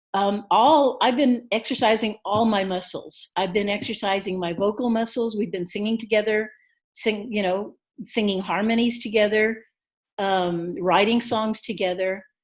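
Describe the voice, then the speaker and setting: In an ordinary speaking voice, a woman talks at a moderate pace with fairly high pitch and fairly even intonation against a quiet background. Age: 60s. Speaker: singer-songwriter. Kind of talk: interview.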